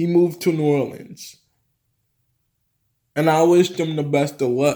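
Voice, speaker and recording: A man's fairly high voice with a dark, mellow tone. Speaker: vlogger. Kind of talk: casual vlog monologue. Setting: home office, video recording. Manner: halting, stumbling over words.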